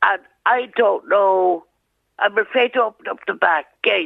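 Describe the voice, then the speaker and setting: A woman with a rural Irish accent speaks at a fairly slow pace. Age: 70s. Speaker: crime victim. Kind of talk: recorded interview, testimony. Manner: halting.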